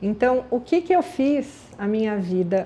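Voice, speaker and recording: Fairly high-pitched yet dark and mellow in tone, a woman's voice moves at a very slow pace. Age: 60s. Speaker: aromatherapy business founder. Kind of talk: personal life story. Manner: conversational.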